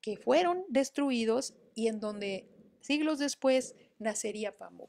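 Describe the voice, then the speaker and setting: Against a quiet background, a woman speaks very slowly in a high voice with lively intonation. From Mexico City. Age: 50. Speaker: online storytelling workshop host. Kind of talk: live-streamed talk with book readings. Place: home room. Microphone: webcam.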